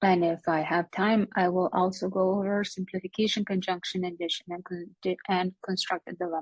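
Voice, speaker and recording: A woman speaks at a medium pitch in a flat monotone, fairly quickly and with hardly any pauses. The sound is dry and close, with no echo. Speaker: logic teacher. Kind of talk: lecture.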